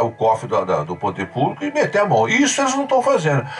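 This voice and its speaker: Through noticeable background noise, a man speaks at a very fast pace. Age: 60s. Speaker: journalist and writer, debate guest. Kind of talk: radio debate.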